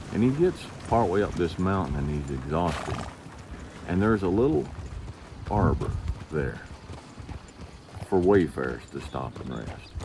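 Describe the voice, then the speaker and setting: The pitch swings very widely at a moderate pace, broken by long, frequent pauses over noticeable background noise. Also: man, very deep, low pitch for a man. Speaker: wrangler school instructor. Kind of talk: casual advice talk to camera. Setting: outdoors.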